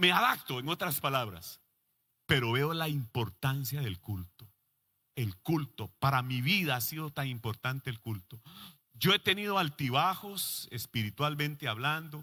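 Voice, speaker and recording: Fairly high-pitched male voice with a bright, sharp tone, lively intonation and a fairly slow pace, on a very clean recording with a silent background. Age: 60s. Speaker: pastor. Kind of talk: sermon.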